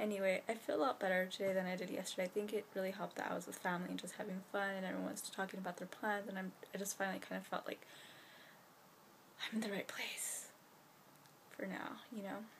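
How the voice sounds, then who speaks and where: The speech runs at a very fast pace yet is broken by long, frequent pauses, mumbled with vocal fry and fairly even intonation. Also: woman, medium pitch for a woman. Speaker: vlogger. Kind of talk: casual vlog to camera. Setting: bedroom at night. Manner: mumbling.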